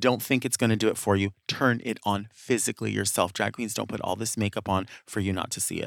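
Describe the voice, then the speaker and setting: On a very clean recording with a silent background, a man with a fairly low pitch and vocal fry talks at a fairly quick pace, with fairly even intonation and hardly any pauses. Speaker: guest co-host. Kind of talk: casual chat.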